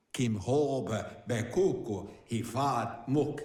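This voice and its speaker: A man's put-on character voice, medium in pitch and very slow, with slight echo. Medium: video game. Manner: invented gibberish language.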